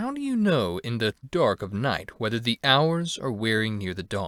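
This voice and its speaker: A man performs a put-on character voice at medium pitch with lively intonation and a moderate pace. The very clean recording has a silent background and a dry, close sound with no echo. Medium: read story.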